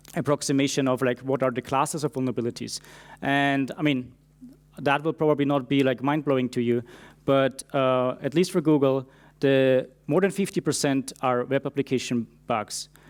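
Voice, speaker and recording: A man with a non-native accent speaks at medium pitch and a moderate pace. His loudness stays very even and his intonation fairly even. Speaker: security engineer. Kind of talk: conference talk. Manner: frequent fillers (uh, um).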